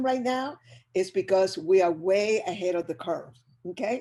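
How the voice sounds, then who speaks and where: A woman with a Spanish accent speaks in a dark, mellow tone. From Chile. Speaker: business educator. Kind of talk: motivational presentation. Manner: animated.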